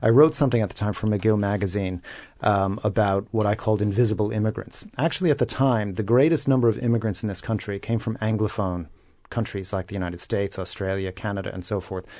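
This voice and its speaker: Very fast speech in an American accent, with a dark, mellow tone, ordinary pitch variation and a quiet background. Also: man, fairly low pitch for a man. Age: 40s. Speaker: commentator. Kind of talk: radio panel discussion. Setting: radio studio.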